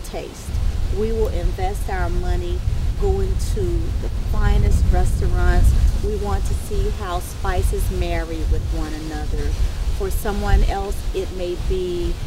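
Music plays behind a woman speaking at a fairly slow pace. The sound is dry, with no echo. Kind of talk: interview answer. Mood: calm, warm, thoughtful.

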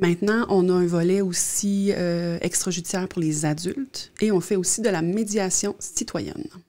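A woman's fairly low, dark, mellow voice at a moderate pace, with fairly even intonation

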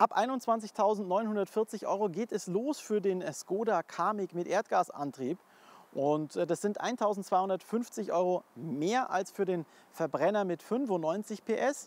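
A man's high-pitched voice at a very slow pace, in a dry sound with no echo. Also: ordinary pitch variation. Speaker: car reviewer. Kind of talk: car review summary to camera. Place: street.

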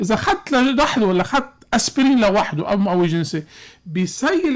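The speaker is a man with a high pitch. He talks with a Lebanese accent. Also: quiet background. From Lebanon. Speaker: cardiologist; guest. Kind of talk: radio call-in medical advice. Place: studio. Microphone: studio mic.

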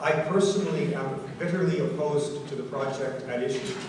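Strong room echo and noticeable background noise surround a man whose pitch varies in an ordinary way. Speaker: host of public meeting. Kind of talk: public speech. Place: hall.

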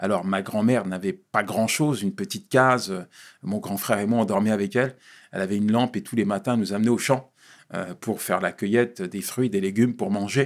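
Against a quiet background, a man speaks at a fairly low pitch with fairly even intonation. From Paris suburbs (La Courneuve, Vitry), Ivorian father; Paris. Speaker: pastor and speaker; pastor, speaker. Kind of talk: interview, life story testimony. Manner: halting, repeats words. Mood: reflective, telling life story. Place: studio. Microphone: studio mic.

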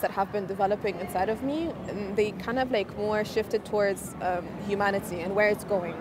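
A woman at a fairly high pitch and fairly quick pace, in a dry sound with no echo, with noticeable background noise. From Egypt. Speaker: astronaut and nonprofit founder. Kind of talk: interview. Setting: conference event. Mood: reflective, earnest. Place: hall. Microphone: lapel.

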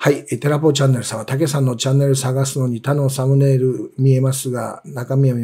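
This man speaks at a fairly quick pace, a bit breathy. His tone is dark and mellow. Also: quiet background. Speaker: investment commentator, former securities executive. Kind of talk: market commentary, live stream. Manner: explanatory, many fillers. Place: office.

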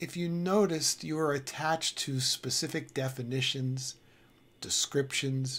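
A fairly slow pace paired with ordinary pitch variation. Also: man. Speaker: spiritual teacher. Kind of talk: spiritual talk to camera.

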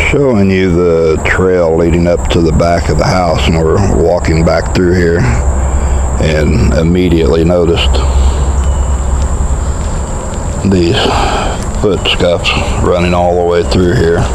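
The speech moves at a fairly slow pace with long, frequent pauses. Noticeable background noise sits under a dry sound with no echo. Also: man. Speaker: outdoor video host. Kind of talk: casual vlog chat. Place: forest. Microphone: phone near.

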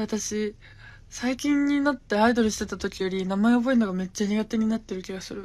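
A woman talks at a fairly quick pace and a fairly high pitch, with ordinary pitch variation. Her loudness swings widely, and she takes long, frequent pauses. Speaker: gravure idol livestreamer; streamer chatting with viewers. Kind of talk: casual livestream chat. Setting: Instagram live. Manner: animated. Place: home room. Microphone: phone near.

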